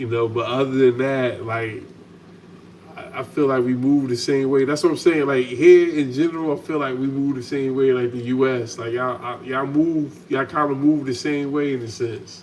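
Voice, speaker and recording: Audible room echo surrounds a man speaking at a medium pitch and moderate pace with fairly even intonation. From United States. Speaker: channel host, salon owner. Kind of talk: casual chat. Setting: home kitchen, livestream.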